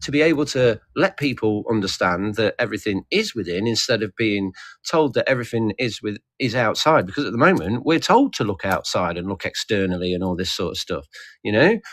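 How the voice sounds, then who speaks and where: In a British accent, a man speaks at a fairly quick pace and medium pitch with very wide pitch swings, on a very clean recording with a silent background. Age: 40s. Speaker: livestream participant. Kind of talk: casual discussion. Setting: livestream group call.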